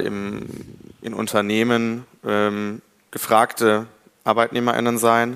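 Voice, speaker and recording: A man's fairly low voice, flat and monotone, with a dry, close sound and no echo. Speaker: law student representative. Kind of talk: live panel discussion. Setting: university hall with live audience.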